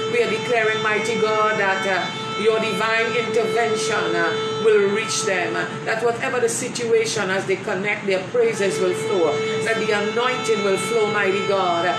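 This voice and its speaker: With music behind her, a woman talks at a moderate pace. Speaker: church minister. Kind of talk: opening remarks and spoken prayer. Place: home room. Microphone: phone near.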